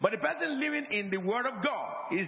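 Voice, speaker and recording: Noticeable background noise surrounds a man whose intonation is lively. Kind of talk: sermon. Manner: call-and-response, emphatic, urging the congregation to repeat and say amen; didactic, repetitive, pastoral teaching with rhetorical flourishes.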